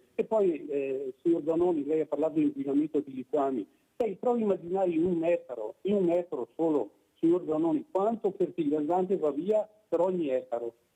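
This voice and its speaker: A man's high-pitched voice, dark and mellow in tone, at a fairly quick pace with lively intonation, very even loudness and a dry, close sound with no echo. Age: 70s. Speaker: caller. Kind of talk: phone-in call. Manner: halting.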